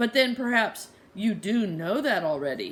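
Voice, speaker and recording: A woman puts on a character voice that is nasal and fairly high. She keeps a moderate pace. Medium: read story. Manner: odd grammar, suspicious.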